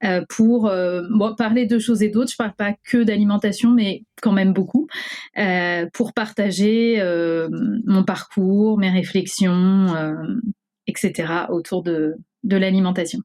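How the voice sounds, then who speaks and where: Very slowly, a woman speaks with fairly even intonation and a dark, mellow tone. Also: medium pitch for a woman. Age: 30s. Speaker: lawyer sharing eating disorder testimony. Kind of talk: testimony. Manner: hesitant with many fillers.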